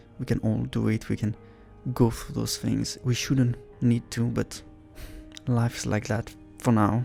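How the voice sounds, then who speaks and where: A man with a non-native accent at a fairly slow pace, music in the background. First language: not English. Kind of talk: casual talk to camera, reaction commentary. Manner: supportive, warm, encouraging.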